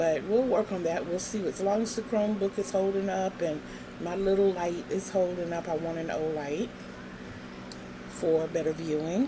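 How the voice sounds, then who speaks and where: A woman with a fairly low voice and ordinary pitch variation speaks through noticeable background noise. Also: moderate pace. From Virginia. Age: 60s. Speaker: craft vlogger. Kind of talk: casual vlog monologue.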